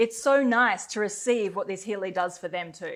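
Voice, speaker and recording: Fairly quick pace and lively intonation. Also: woman. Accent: Australian. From Australia. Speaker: company co-founder, network marketer. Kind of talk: promotional webinar conversation. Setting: webinar recorded in Bali.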